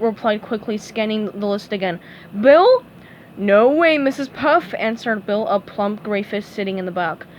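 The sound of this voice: The voice reads aloud in an unforced way.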